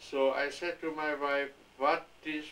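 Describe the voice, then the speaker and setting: Over noticeable background noise, a man talks at a fairly slow pace. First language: German. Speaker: grandfather interviewed by family. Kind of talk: family oral history interview. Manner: halting.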